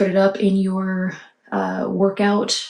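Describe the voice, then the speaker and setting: This woman talks quietly at a medium pitch. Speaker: tarot reader. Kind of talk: tarot reading monologue. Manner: quiet, hushed.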